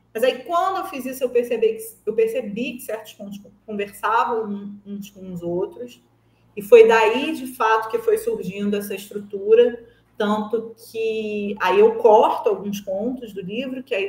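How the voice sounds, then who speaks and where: A woman with a plain, everyday voice speaks at a fairly slow pace and fairly high pitch. Her pitch variation is ordinary, but her loudness swings widely. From Brazil, Rio de Janeiro. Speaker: writer and screenwriter. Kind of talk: interview. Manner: conversational, with frequent fillers.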